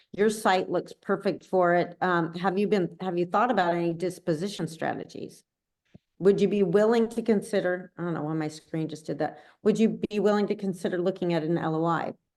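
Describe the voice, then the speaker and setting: This is an unremarkable speaking voice at a fairly quick pace. The intonation stays fairly even. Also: woman, medium pitch for a woman. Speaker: commercial real estate trainer. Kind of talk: training session.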